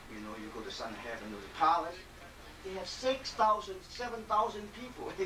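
A man at a moderate pace against noticeable background noise. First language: Chinese. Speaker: qigong lecturer and panel moderator. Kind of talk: lecture. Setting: stage with audience. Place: home room. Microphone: camera far.

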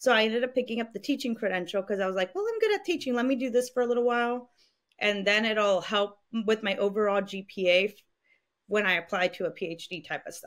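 Against a quiet background, a woman talks at a fairly quick pace with a fairly high pitch and ordinary pitch variation. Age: 20s. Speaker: podcast host and college coach; podcast guest. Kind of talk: casual interview. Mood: reflective, open. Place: home room. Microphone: studio mic.

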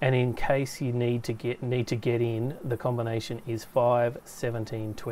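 The recording presents a natural reading voice.

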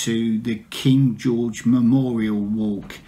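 The speaker is a man. His intonation rises and falls as usual. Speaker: knitting vlogger. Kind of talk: casual vlog chat. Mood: relaxed, chatty. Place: home room. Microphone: phone near.

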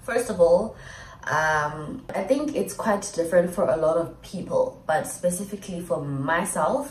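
A woman speaks at a fairly low pitch and a fairly slow pace. Light background noise and audible room echo fill the recording. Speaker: vlogger. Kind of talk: casual vlog chat. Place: home room. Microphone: phone near.

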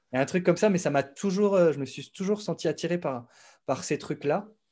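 Here is a man with a dark, mellow tone. His pitch variation is ordinary. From eastern France, Besançon; France. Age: 30s. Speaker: music producer and YouTube educator; YouTube educator. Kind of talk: casual interview. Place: home room. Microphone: studio mic.

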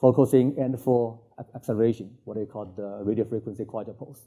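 A man speaks with a Chinese accent at a fairly quick pace. His intonation stays fairly even. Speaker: physicist giving invited talk. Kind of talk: lecture. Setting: conference stage with audience. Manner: halting, many fillers.

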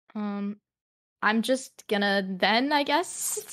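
Here a woman raises and projects her voice. Her tone is bright and sharp. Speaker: tabletop role-play player. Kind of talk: casual tabletop role-play chat.

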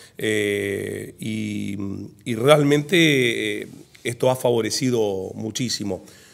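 The man talks at a very slow pace. The background is quiet. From Argentina, Santa Fe province (Humberto Primo area); Santa Fe, Argentina. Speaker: football federation president; guest. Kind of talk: casual interview. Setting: in-person conversation over coffee. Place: studio. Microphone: studio mic.

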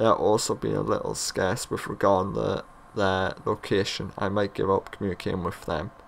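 Here a man speaks with a British accent. His pace is fairly quick. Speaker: gaming YouTuber. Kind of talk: gameplay commentary. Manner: casual, rambling.

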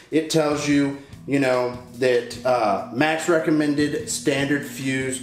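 Audible room echo surrounds the voice. Faint music plays in the background. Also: man. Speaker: host. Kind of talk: tutorial. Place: garage.

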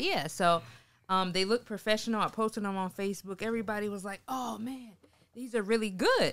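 A woman with a South Carolina accent, a fairly quick pace and ordinary pitch variation. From Sumter, South Carolina. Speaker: mortgage lender and photographer; guest. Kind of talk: interview. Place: studio. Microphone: studio mic.

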